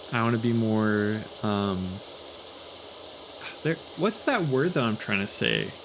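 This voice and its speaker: Mumbling at a medium pitch, a man speaks over noticeable background noise. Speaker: YouTuber. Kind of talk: casual chat. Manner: halting.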